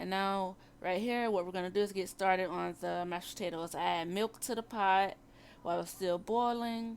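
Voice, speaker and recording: A woman with an American accent and medium pitch, at a moderate pace with fairly even intonation, on a very clean recording with a silent background. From Florida, Tampa. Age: 20s. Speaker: home cooking vlogger. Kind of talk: cooking voiceover narration. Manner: halting, self-correcting.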